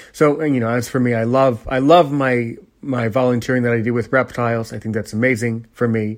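Against a quiet background, the speaker talks at a fairly quick pace. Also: man. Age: 20s. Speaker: podcast host and teacher. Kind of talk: casual monologue. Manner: halting, many fillers.

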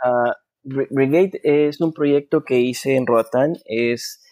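With a Honduran accent, a man talks with fairly even intonation in a dry, close sound with no echo. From Honduras. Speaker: film director and producer. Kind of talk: interview.

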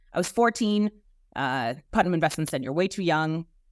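Moderate pace, with a slight Boston accent. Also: woman, very clean recording, silent background. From South Boston, US. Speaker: HR executive. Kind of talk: casual interview.

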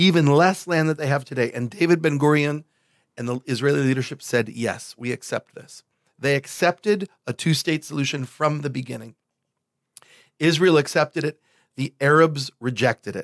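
A man with an American accent has a plain, everyday voice, fairly high in pitch with ordinary pitch variation. He talks at a moderate pace in a dry, close sound with no echo. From Buffalo, New York. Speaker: bishop. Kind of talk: casual chat.

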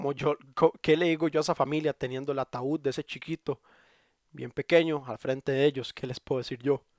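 The speaker has a Costa Rican accent and fairly even intonation, and the sound is dry and close with no echo. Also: man, fairly high pitch for a man. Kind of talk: devotional monologue. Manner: halting.

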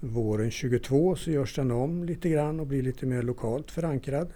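This man's voice has a dark, mellow tone, medium pitch, ordinary pitch variation and a moderate pace. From northern Värmland, Sweden (Torsby). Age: 60s. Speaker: folk high school teacher. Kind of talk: interview.

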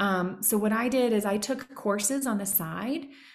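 The recording has audible room echo as a woman speaks at a medium pitch with ordinary pitch variation. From Tennessee. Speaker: business consultant and coach. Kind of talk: casual interview chat.

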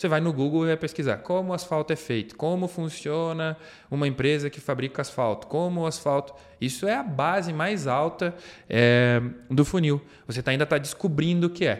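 Over a very clean recording with a silent background, a man with an ordinary speaking voice talks at a fairly high pitch, with ordinary pitch variation and a moderate pace. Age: 30s. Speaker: marketing manager. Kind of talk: interview. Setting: studio.

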